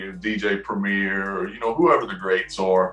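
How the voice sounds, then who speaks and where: Noticeable background noise behind a man with an American accent, fairly low in pitch, at a moderate pace with ordinary pitch variation. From US South, Knoxville, Tennessee. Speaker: rapper and music producer. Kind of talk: interview. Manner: hesitant, many fillers.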